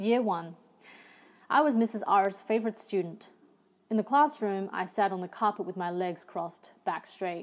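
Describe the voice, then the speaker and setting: A woman with an Australian accent, medium pitch, ordinary pitch variation, a moderate pace, and long, frequent pauses. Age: young. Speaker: novelist. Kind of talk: reading aloud.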